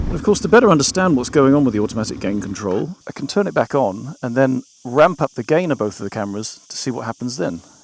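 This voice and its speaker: A man with a British accent, talking very fast with hardly any pauses and very wide pitch swings, in a dry, close sound with no echo. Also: medium pitch for a man. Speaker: motorcycle vlogger. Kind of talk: product review. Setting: riding a motorcycle outdoors. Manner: shouting at times; quiet speech during tests.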